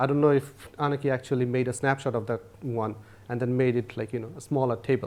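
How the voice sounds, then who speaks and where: In a very clean recording with a silent background, a man with a non-native accent talks at a very fast pace and medium pitch. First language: not English. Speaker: workshop instructor. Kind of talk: lecture.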